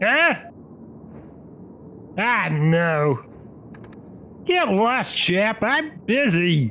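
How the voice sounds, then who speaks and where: Over clear background noise, a man does a gruff put-on character voice at a high pitch, speaking very slowly with long, frequent pauses. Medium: read story. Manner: gruff, goofy.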